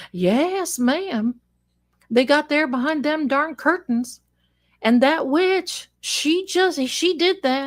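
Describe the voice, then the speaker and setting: Putting on a character voice, a woman drawls in a strong Southern US accent at a very slow pace, her high pitch carrying lively intonation. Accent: thick Southern drawl. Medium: solo performance. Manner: folksy, drawling, proud.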